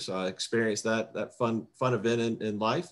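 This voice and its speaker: A man at a medium pitch and a fairly quick pace. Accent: Southern US. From South Carolina, US South. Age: 50s. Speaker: political candidate. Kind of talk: candidate self-introduction. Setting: video call. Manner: talkative, long-winded.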